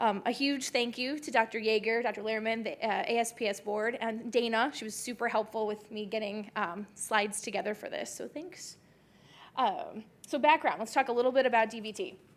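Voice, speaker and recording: A woman's fairly high voice with an American accent, fairly quick in pace, with ordinary pitch variation and big swings in loudness. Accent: Chicago accent, coming back. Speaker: podiatric surgeon, conference speaker. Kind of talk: lecture.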